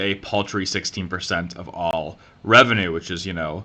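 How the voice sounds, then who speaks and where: A man speaks with an American accent at a moderate pace. His tone is bright and sharp. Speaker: political commentary youtuber. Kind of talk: solo commentary video, semi-scripted explainer. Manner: casual, with frequent fillers.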